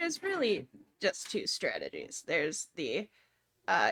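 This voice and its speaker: A woman speaks quietly at a fairly slow pace, with a dry, close sound and no echo. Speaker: pinball streamer. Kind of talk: casual chat on a live game stream. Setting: home game room, live stream.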